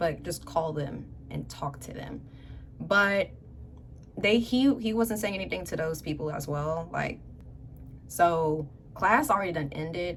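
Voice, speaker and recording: A woman's fairly low, animated voice with lively intonation at a fairly slow pace, marked by long, frequent pauses, audible room echo and noticeable background noise. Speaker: youtuber. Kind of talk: story time.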